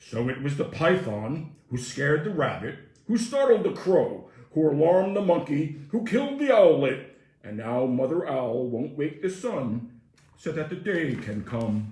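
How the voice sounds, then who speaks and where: A man uses a put-on character voice. A slight echo can be heard. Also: fairly high pitch for a man, moderate pace. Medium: read story. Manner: formal, solemn, repetitive.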